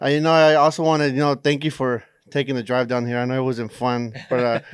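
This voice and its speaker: On a very clean recording with a silent background, a man talks at a very fast pace with fairly even intonation. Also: medium pitch for a man. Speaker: podcast host. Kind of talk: podcast interview.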